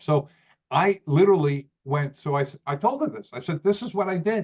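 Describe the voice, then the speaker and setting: This man's fairly high pitch moves in very wide swings. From New York. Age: 60s. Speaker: company owner presenting to network marketers. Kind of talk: live training presentation. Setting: video call. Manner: halting, many repeated words and fillers.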